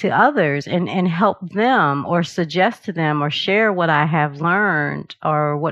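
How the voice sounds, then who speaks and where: Against a quiet background, a woman speaks fairly slowly in a normal speaking voice, fairly low in pitch with ordinary pitch variation. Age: 50s. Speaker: meditation and yoga teacher. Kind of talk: interview.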